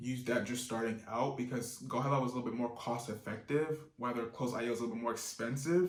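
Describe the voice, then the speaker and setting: Here a man is speaking. His intonation stays fairly even. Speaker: online business youtuber. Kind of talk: tutorial. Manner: fast; casual, with fillers.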